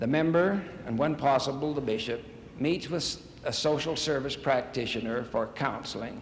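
Audible room echo surrounds a man speaking at a moderate pace. Light background noise is present. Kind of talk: sermon. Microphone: podium.

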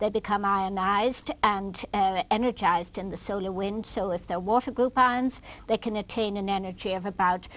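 This voice carries vocal fry and ordinary pitch variation. The pace is moderate. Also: woman. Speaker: guest. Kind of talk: interview answer explaining data. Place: studio.

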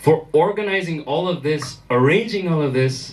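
Fairly high male speech with ordinary pitch variation. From Germany. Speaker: actor and producer of music video. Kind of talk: speech at press event, mixing Kannada and English.

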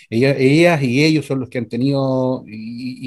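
The man's voice sits at medium pitch. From Constitución, Maule region, Chile. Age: 50s. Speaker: mechanic, trucker and council candidate. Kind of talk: political candidate interview. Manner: halting, many fillers.

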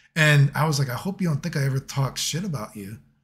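A man talks at a very fast pace with ordinary pitch variation. Faint music plays in the background. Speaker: fighting game youtuber. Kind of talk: casual commentary rant. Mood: reflective, earnest.

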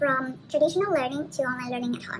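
A woman's voice with very wide pitch swings over noticeable background noise. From Vietnam. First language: Vietnamese. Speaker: university student. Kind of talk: presentation. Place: home room. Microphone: webcam.

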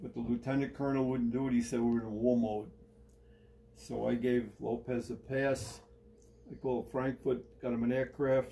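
A man speaks at a moderate pace in a dark, mellow tone. His intonation is monotone and flat, with light background noise. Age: 80s. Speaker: retired army sergeant major and collector. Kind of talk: personal storytelling in an interview. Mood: relaxed, reminiscing. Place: home room. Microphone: phone near.

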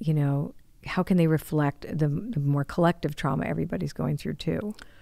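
A woman speaks with a very deep, low pitch and ordinary pitch variation at a moderate pace. The sound is dry with no echo, over a quiet background. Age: 60s. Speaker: podcast host. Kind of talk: casual chat. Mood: warm, engaged. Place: studio. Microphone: studio mic.

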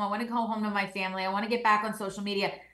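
The room echo is audible as a woman talks. Her background is quiet. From New Jersey. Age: young. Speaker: attorney and legal analyst. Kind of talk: panel discussion. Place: home room.

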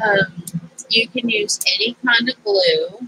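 A woman's nasal voice has a bright, sharp tone, a slightly husky edge and ordinary pitch variation. The sound is dry and close, with no echo.

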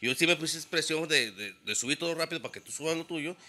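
With a bright, sharp tone and some vocal fry, a man speaks at a fairly quick pace in a fairly high pitch. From Mexico, San Luis Potosí. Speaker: DJ and audio production business owner; DJ. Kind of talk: casual chat. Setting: studio. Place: studio. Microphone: studio mic.

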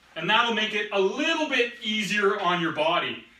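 A man's raised, projected voice at a moderate pace, with ordinary pitch variation and audible room echo. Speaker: fitness trainer. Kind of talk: tutorial. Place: gym.

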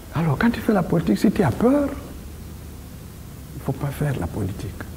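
A man's fairly high, dark, mellow voice with very wide pitch swings at a fairly quick pace.

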